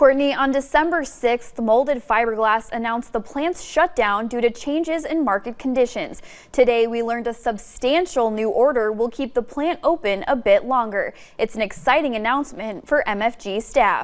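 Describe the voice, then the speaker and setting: A high-pitched woman at a moderate pace with hardly any pauses and ordinary pitch variation, over a quiet background. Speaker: TV news reporter. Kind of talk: TV news reporter stand-up and package narration.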